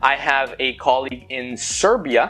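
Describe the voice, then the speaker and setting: A man speaks with a Spanish accent and ordinary pitch variation. Background noise is noticeable. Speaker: expat business consultant. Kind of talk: youtube explainer talk.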